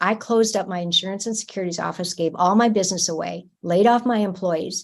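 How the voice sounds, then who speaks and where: A woman with an unremarkable speaking voice talks at a moderate pace in fairly even intonation over a quiet background. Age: 60s. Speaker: energy medicine practitioner. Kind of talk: interview.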